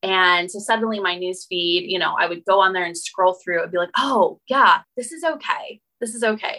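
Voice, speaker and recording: A woman's medium-pitched, bright, sharp voice with a Western US accent, lively intonation, moderate pace and hardly any pauses. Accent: American, Western US. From Utah, US. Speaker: boundary coach. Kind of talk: interview.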